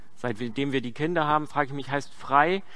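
The man's voice is fairly high and has a bright, sharp tone, with audible room echo around it. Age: 30s. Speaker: pastor. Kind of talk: sermon.

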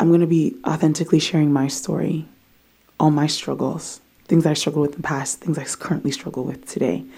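With an American accent, a woman talks at a fairly quick pace in a very deep, low pitch, her tone dark and mellow with vocal fry. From DMV area, US (Ghanaian family). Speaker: podcast host. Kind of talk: personal testimony. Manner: animated.

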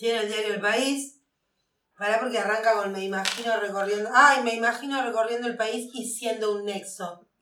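Over audible room echo, a woman with a fairly high pitch speaks at a moderate pace with fairly even intonation. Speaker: podcast co-host. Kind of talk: casual chat.

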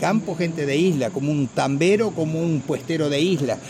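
Speaking at a moderate pace with ordinary pitch variation, a man is heard against noticeable background noise. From Argentina, Santa Fe province countryside near Maciel. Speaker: folk songwriter. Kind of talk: radio interview. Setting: outdoor festival.

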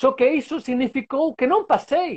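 A man speaks with a Spanish accent. His pitch is extremely high. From Spain. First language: Spanish (speaking Portuguese). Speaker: sports science professor. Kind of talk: casual interview. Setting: video call from home balcony.

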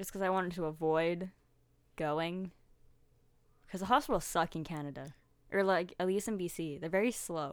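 On a very clean recording with a silent background, a woman speaks at a moderate pace in a fairly low pitch, with ordinary pitch variation and long, frequent pauses. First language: Russian. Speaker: podcast co-host. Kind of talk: casual chat.

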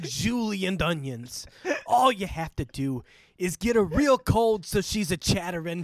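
In this plain reading aloud, the intonation is lively.

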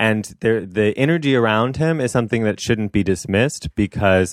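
Heard on a very clean recording with a silent background, a normal speaking voice moves at a moderate pace in a dry, close sound with no echo. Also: man. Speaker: staff writer. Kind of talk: casual chat.

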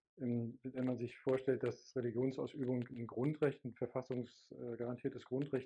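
A man speaks fairly slowly. His tone is dark and mellow. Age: 50s. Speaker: pastor. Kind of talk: interview.

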